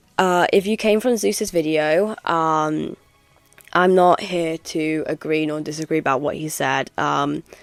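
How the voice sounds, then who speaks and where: Music plays in the background as the voice moves at a fairly slow pace with ordinary pitch variation. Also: woman, very deep, low pitch for a woman. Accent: English. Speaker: gaming YouTuber. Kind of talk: commentary video. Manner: hesitant, many ums.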